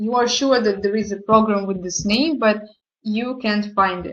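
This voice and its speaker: The speaker has a non-native accent and ordinary pitch variation, with a quiet background. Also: woman. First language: not English. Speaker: product presenter. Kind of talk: online presentation tutorial. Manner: halting.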